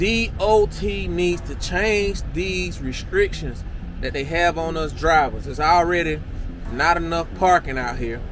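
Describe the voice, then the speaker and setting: A man speaks at a high pitch. The sound is dry with no echo, though noticeable background noise comes through. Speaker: truck driver vlogger. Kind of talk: casual vlog chat. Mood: frustrated, complaining. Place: car. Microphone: phone near.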